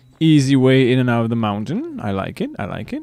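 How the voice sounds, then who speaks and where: With music in the background, a man speaks using lively intonation. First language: Dutch. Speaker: gaming streamer. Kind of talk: live gameplay commentary. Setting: live stream.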